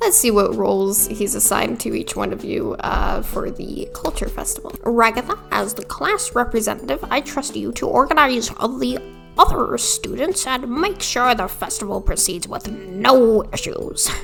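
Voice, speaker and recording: A put-on character voice that sounds female moves at a moderate pace, with clear music playing in the background. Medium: game stream. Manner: mild, folksy, slightly befuddled.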